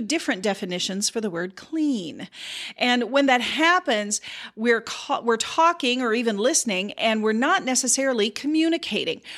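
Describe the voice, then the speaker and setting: A woman's fairly high voice, an unremarkable speaking voice, fairly quick with lively intonation, on a very clean recording with a silent background. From US Midwest, South Dakota. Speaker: podcast host and communication consultant. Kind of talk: solo educational monologue.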